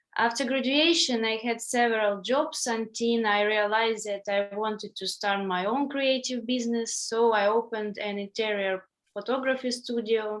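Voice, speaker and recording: Speaking with a Ukrainian accent, a woman with a fairly high pitch keeps a moderate pace with fairly even intonation and hardly any pauses. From Ukraine, Melitopol. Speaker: English language student. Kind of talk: reading aloud.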